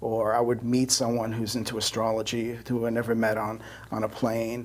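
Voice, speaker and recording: A man talks with a New York accent at a moderate pace. His intonation is monotone and flat, and the room echo is audible. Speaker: astrologer. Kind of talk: interview. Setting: studio.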